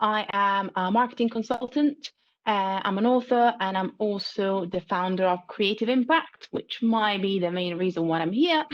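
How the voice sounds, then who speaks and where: A woman speaks with an Italian accent. She barely pauses at all. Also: medium pitch for a woman, ordinary pitch variation, moderate pace. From Italy. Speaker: marketing consultant. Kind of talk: interview.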